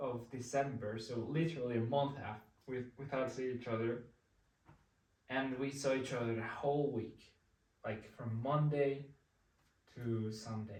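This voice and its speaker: A somewhat breathy man in a Spanish accent, medium pitch, ordinary pitch variation, fairly slow pace, with audible room echo. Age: 20s. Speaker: vlogger. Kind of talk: casual chat. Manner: halting.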